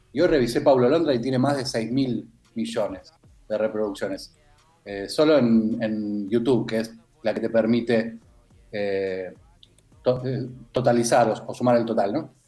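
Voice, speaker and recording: With music playing behind him, a man talks at a fairly slow pace in a medium pitch, with ordinary pitch variation and long, frequent pauses. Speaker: music columnist. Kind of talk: radio music column.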